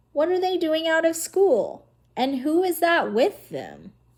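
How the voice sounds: Putting on a character voice, a woman speaks at an extremely high pitch in a raspy tone and a fairly slow pace.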